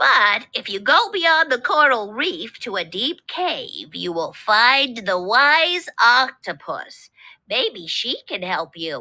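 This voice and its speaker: The female-sounding voice is a put-on character voice pitched high. It moves at a very slow pace. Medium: read story.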